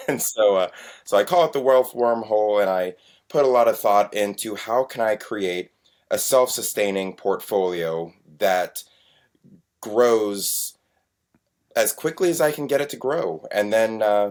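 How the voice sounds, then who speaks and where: At a fairly slow pace, a man with a medium pitch speaks with long, frequent pauses. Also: lively intonation. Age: 40s. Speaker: self-employed private investor. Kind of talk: interview.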